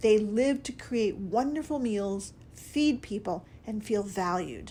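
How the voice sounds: Natural reading voice throughout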